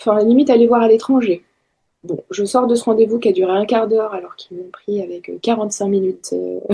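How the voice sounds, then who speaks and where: A fairly high-pitched woman at a fairly quick pace, dark and mellow in tone, with fairly even intonation and big swings in loudness. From Paris region, France. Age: 40s. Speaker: architect, solo mother sharing her story. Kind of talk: interview testimony. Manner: hesitant, many fillers.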